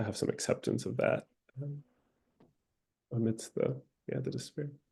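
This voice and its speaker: Vocal fry runs through this voice, which has an American accent and ordinary pitch variation. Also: man. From United States. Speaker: webinar guest speaker. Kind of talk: panel discussion.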